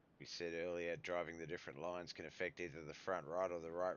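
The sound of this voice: A man talks at a low pitch in a fairly bright tone.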